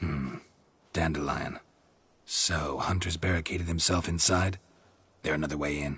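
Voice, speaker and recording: Using a put-on character voice, a man speaks at a very deep, low pitch and leaves long, frequent pauses. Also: moderate pace. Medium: video game. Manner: terse, flat, economical.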